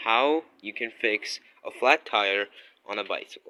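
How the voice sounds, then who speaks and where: A man's voice at a medium pitch, with a non-native accent. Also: dry, close sound with no echo. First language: not English. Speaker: DIY video creator. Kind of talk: tutorial. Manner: casual, hesitant with fillers.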